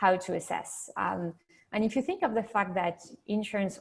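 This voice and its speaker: A woman speaks at medium pitch with vocal fry and fairly even intonation. Her pace is moderate, on a very clean recording with a silent background. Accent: French. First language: French. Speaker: insurtech executive. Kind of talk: panel discussion.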